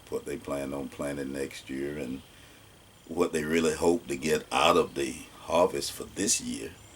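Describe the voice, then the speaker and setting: Noticeable background noise sits behind a man speaking with an Alabama accent. His pace is moderate. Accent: Southern US (Alabama). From US South, Alabama. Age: 60s. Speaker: oral history interviewee. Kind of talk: oral history interview.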